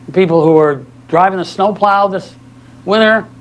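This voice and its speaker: This man's voice sits high for a male, with ordinary pitch variation, over noticeable background noise. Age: 70s. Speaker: lawyer and guest lecturer. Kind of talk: lecture. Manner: animated.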